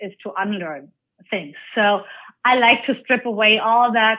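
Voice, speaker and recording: A woman's fairly high voice with a German accent, ordinary pitch variation and a fairly slow pace. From Germany. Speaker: life coach. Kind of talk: interview.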